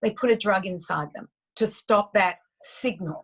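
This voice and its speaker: Against a quiet background, a woman with an Australian accent talks in an animated tone, somewhat breathy and at a fairly high pitch. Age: 60s. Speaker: nutritionist. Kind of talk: interview.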